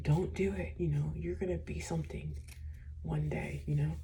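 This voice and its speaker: A woman at a moderate pace, monotone and flat in intonation, with audible room echo and noticeable background noise. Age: 20s. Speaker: vlogger. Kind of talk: personal vlog monologue. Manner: halting.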